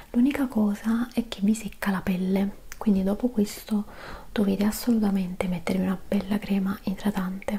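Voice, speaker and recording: A soft-spoken woman at a fairly slow pace, calm in tone, with monotone, flat intonation. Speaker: beauty vlogger. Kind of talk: casual product review chat. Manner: soft-spoken, calm, quiet ASMR voice. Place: home room.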